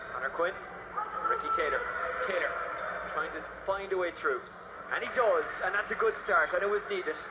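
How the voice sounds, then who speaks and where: Loud background noise fills the space as a man talks at a fairly quick pace. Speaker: basketball commentator. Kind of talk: live sports commentary.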